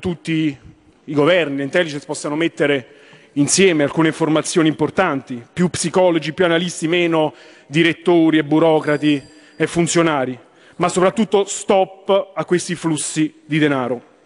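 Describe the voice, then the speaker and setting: It is quiet in the background. A man talks at a moderate pace, his intonation fairly even. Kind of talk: parliamentary speech. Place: hall. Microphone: podium.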